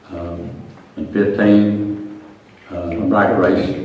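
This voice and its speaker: A man's fairly low voice with an Arkansas accent and fairly even intonation, amid audible room echo and noticeable background noise. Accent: Southern US (Arkansas). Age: 60s. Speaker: drag racer and race car builder. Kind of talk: acceptance speech. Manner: halting, stuttering.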